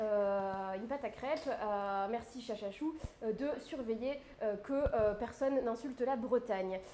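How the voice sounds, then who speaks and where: This woman talks at a fairly slow pace in a fairly high pitch. Her pitch varies in an ordinary way, with noticeable background noise behind her. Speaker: livestream cooking host. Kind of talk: casual live stream chat. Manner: hesitant with many fillers.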